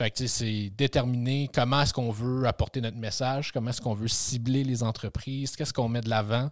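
A man's fairly quick, flat monotone with hardly any pauses, on a very clean recording with a silent background. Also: medium pitch for a man. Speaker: podcast host, sustainable development advisor. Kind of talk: casual interview chat.

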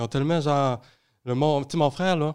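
The recording is very clean, with a silent background. In it, a man talks fairly quickly, his pitch varying in an ordinary way. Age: young. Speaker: youth environmental advocate. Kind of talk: casual chat. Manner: halting.

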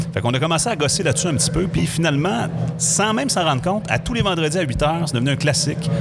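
Music plays in the background as the voice, with ordinary pitch variation, carries audible room echo. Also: man. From Quebec, Saguenay (Chicoutimi). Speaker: radio host. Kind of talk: casual chat.

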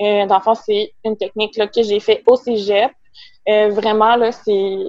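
With a Quebec accent, a woman speaks very slowly at a fairly high pitch in a monotone, flat delivery. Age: 20s. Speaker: veterinary technician and small business owner. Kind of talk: casual interview.

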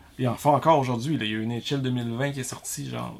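A man speaks with a Quebec accent. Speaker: YouTuber. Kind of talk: casual chat. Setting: garage.

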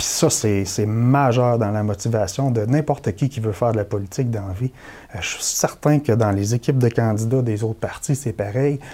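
An ordinary speaking voice from a man, medium in pitch, with ordinary pitch variation at a moderate pace. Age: 40s. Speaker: election candidate. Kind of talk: political interview.

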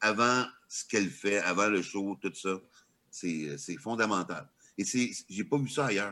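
This man's bright, sharp voice sits at a fairly low pitch with ordinary pitch variation. He speaks at a very slow pace, leaving long, frequent pauses. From Quebec, small village. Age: 50s. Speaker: stand-up comedian and comedy writer. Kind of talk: casual interview chat.

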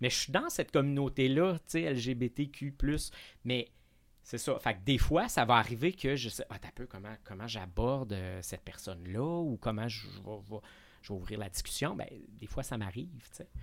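A man speaks in a plain, everyday voice at a medium pitch and a moderate pace. His intonation is lively, his loudness swings widely, and the recording is very clean with a silent background. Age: 40s. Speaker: actor and drag queen. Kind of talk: casual chat.

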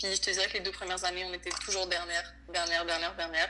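Amid noticeable background noise, a woman with a fairly low pitch talks at a very fast pace with fairly even intonation. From Venezuela. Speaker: college volleyball player. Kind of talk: casual interview. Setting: late-night recording.

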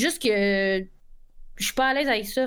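Moderate-paced female speech with ordinary pitch variation, very clean recording and a silent background. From Quebec. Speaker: Twitch streamer. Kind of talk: casual chat.

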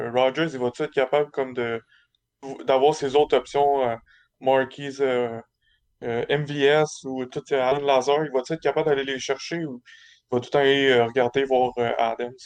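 Over a quiet background, a man talks with a fairly high pitch and monotone, flat intonation, leaving long, frequent pauses. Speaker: sports podcast panelist. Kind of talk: casual chat.

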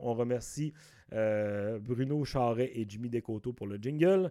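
With a Saguenay–Lac-Saint-Jean accent, a man speaks very slowly in a dark, mellow tone at medium pitch with ordinary pitch variation, on a very clean recording with a silent background. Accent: Quebec French, Saguenay–Lac-Saint-Jean. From Quebec, Lac-Saint-Jean. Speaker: comedian and podcast host. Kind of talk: casual solo podcast monologue. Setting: home recording.

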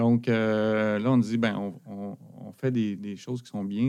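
A man with a fairly low pitch and monotone, flat intonation, at a fairly slow pace. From Quebec, Abitibi. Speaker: business owner. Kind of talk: interview.

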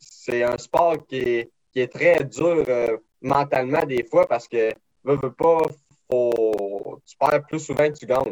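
A man at a medium pitch, a very slow pace, big swings in loudness, and ordinary pitch variation. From Quebec, Beauce region. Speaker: race car driver. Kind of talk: interview.

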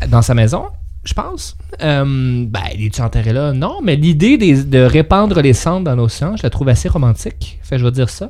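A man speaks at a moderate pace with a medium pitch and lively intonation. Noticeable background noise sits behind him. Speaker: radio co-host. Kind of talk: casual radio chat.

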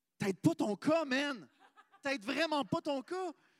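A man's extremely high-pitched voice, very slow, in a dry, close sound without echo. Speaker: podcast host. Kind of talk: live podcast chat.

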